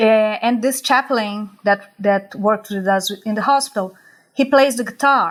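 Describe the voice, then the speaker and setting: With a Brazilian accent, a woman talks at a fairly slow pace in a fairly high pitch. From Brazil, Rio de Janeiro (West zone). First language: Portuguese. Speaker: psychologist. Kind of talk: interview conversation. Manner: halting, repeats words.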